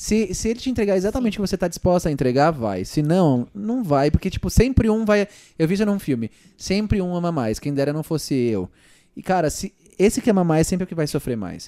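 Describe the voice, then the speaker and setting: Here a man talks at a very fast pace with a high pitch and very wide pitch swings. His tone is dark and mellow, on a very clean recording with a silent background. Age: 20s. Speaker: youtuber and podcast host. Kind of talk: casual chat.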